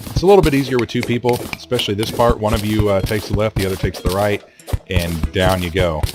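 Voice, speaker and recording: A man talks at a very fast pace with a fairly low pitch and ordinary pitch variation. Noticeable background noise is present. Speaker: video game let's player. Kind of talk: gameplay commentary. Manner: casual, joking; hesitant with fillers.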